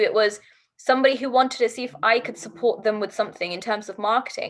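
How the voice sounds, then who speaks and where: Here a woman speaks with a British accent at a fairly quick pace. Her voice is high-pitched. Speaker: diversity and inclusion coach, entrepreneur. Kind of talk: podcast interview. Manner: animated.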